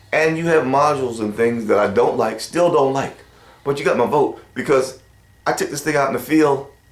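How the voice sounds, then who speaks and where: At a moderate pace, a man speaks in an animated tone, fairly high in pitch with ordinary pitch variation. Room echo is audible. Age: 60s. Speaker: hunting vlogger. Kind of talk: casual product review monologue.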